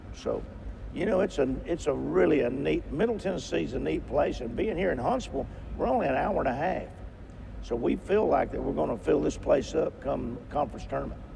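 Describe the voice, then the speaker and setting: In a room with audible echo, a man talks at a fairly quick pace. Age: 70s. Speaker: basketball head coach. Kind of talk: interview. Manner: halting.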